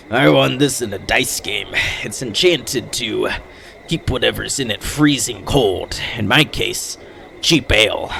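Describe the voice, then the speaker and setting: A man talks slowly in a raspy, put-on character voice at medium pitch. Clear background noise sits behind him. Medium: actual play. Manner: sighing, mournful.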